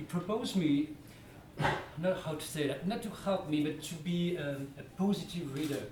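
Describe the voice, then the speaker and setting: A man talks in a French accent with ordinary pitch variation. Audible room echo and noticeable background noise fill the recording. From France. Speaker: comics author. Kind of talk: interview at a public talk. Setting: library event with audience. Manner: halting, many repetitions and fillers.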